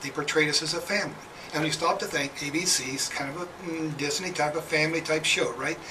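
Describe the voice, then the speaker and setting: A man at a very fast pace, fairly high in pitch and fairly even in intonation, over noticeable background noise. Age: 60s. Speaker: reality TV contestant, military veteran. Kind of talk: radio interview. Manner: halting.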